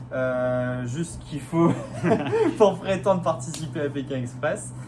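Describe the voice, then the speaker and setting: A man of medium pitch speaks very slowly with ordinary pitch variation, with noticeable background noise and audible room echo. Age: 20s. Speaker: radiology technician, reality show applicant. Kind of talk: casting video self-presentation. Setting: self-filmed video. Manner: hesitant, many fillers.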